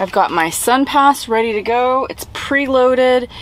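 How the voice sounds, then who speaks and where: Dry, echo-free sound from a woman speaking. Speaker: van life travel vlogger. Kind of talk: casual vlog chat. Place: car. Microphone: phone near.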